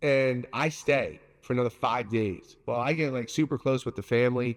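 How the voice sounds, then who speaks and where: The man's tone is animated, in a New York accent. His pitch sits in the medium range. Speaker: pizza maker. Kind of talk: casual interview. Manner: loud.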